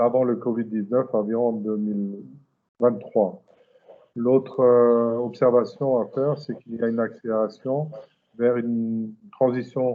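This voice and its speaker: A man speaks fairly slowly with monotone, flat intonation. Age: 60s. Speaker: company president, automotive supplier. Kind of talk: interview. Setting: video call.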